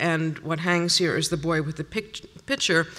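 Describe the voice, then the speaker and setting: A woman's normal speaking voice, fairly low in pitch, at a fairly slow pace. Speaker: paintings conservator; conference presenter. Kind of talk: conference lecture. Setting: stage with audience. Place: hall.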